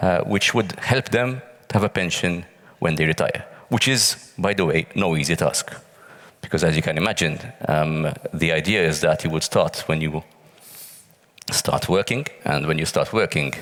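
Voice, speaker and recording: A man's very deep, low voice at a moderate pace, with very even loudness, ordinary pitch variation and long, frequent pauses. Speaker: pensions working group member. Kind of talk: panel interview. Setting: stage with audience.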